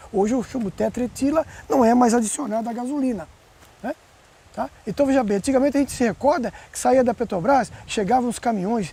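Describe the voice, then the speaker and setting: The tone is animated, with ordinary pitch variation. The pace is fairly quick. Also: man. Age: 60s. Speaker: environmental activist. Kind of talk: interview.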